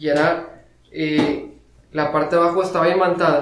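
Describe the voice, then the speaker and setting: A man with a Mexican accent and monotone, flat intonation over noticeable background noise. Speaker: podcast co-host. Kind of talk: casual chat.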